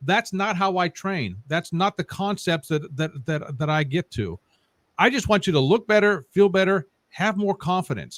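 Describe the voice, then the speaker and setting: A man speaks at a moderate pace with a high pitch and ordinary pitch variation. The sound is dry and close, with no echo. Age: 50s. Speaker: fitness podcast host. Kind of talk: interview.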